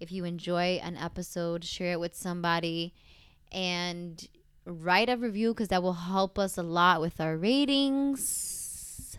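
A woman with a fairly low pitch talks at a fairly slow pace in an ordinary speaking voice. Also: ordinary pitch variation. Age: 20s. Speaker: travel podcast co-host. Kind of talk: casual chat; podcast outro. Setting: recording on vacation in Italy.

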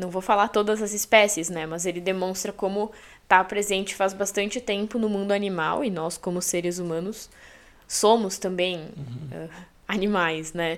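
On a very clean recording with a silent background, a woman speaks at a moderate pace in a medium pitch with fairly even intonation. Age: 20s. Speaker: journalist and English teacher. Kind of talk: casual chat.

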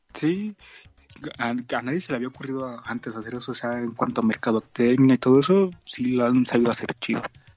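Over music in the background, a man with a Mexican accent talks at a fairly quick pace and a medium pitch, with ordinary pitch variation and a dry, close sound with no echo. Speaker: podcast co-host, historian. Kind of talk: casual chat.

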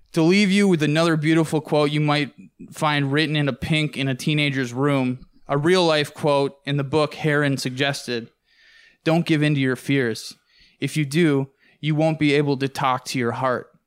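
A man with an ordinary speaking voice talks at a moderate pace and fairly high pitch, his intonation fairly even. The recording is very clean, with a silent background. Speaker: podcast producer. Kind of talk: casual chat.

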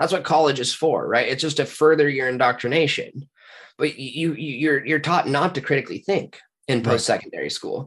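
Against a quiet background, a man with an unremarkable speaking voice talks at a fairly quick pace in a fairly high pitch, his intonation fairly even. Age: 30s. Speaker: podcast guest, spiritual and conspiracy researcher. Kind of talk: casual chat.

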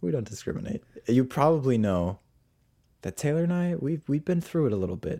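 A man's voice sits fairly high in pitch yet has a dark, mellow tone, with very wide pitch swings. He speaks at a fairly quick pace on a very clean recording with a silent background. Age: 20s. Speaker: podcast co-host. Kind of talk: casual chat. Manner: animated.

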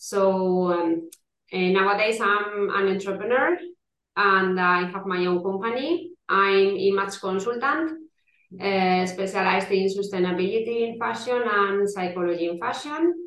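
Her words come at a fairly slow pace. The woman talks with a Spanish accent. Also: medium pitch for a woman, ordinary pitch variation. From Spain. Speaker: image consultant. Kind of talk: interview. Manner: halting.

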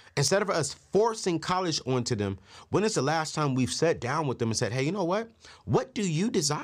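In a very clean recording with a silent background, a man speaks at a fairly high pitch and fairly quick pace, his animated tone marked by vocal fry and very wide pitch swings. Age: 30s. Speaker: personal finance show host. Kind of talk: financial advice talk to camera.

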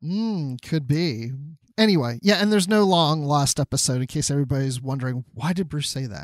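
A man with an ordinary speaking voice talks at a fairly quick pace. His pitch is fairly high, and his intonation is lively. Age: 50s. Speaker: podcast host. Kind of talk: casual chat.

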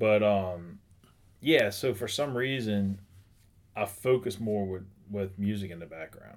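Big swings in loudness mark a man speaking at a fairly slow pace with long, frequent pauses and ordinary pitch variation. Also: fairly low pitch for a man. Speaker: attorney. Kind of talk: casual chat. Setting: studio office.

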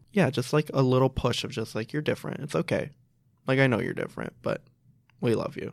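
A man at medium pitch with an American accent and vocal fry, fairly quick pace, ordinary pitch variation, and a very clean recording with a silent background. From Chicago, US (Pakistani family). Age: 20s. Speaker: graduate student in teaching, lifestyle blogger. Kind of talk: casual interview chat.

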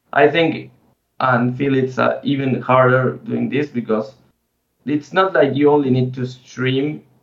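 Speaking fairly slowly, a man uses a medium-pitched voice. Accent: Spanish. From Argentina. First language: Spanish. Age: 30s. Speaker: esports player and streamer. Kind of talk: interview.

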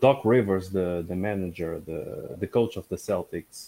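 A man speaks in a Portuguese accent, at a very deep, low pitch. His pace is fairly slow, and the sound is dry and close with no echo. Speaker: co-host and stream producer. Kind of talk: live-streamed interview.

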